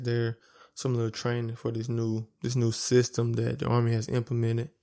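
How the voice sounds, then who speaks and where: With a strong Alabama accent, a man speaks at a moderate pace in a relaxed tone, his medium-pitched voice dark and mellow, his intonation monotone and flat, on a very clean recording with a silent background. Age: 20s. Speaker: podcast host. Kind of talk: casual monologue. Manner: repeats words.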